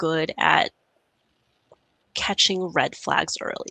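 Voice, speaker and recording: The voice has a bright, sharp tone and moves at a very slow pace. The sound is dry and close, with no echo. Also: woman. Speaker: anesthesiologist. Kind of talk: conference talk and Q&A.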